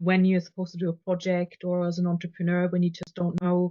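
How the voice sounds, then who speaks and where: Someone with a non-native accent talks at a fairly quick pace in a monotone, flat delivery. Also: woman. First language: not English. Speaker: podcast host and business coach. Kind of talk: casual interview chat. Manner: halting, repeated words.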